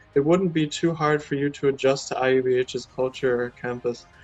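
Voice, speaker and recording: Music plays behind a man with an American accent who speaks at a fairly quick pace with fairly even intonation. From United States. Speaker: university representative. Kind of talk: interview.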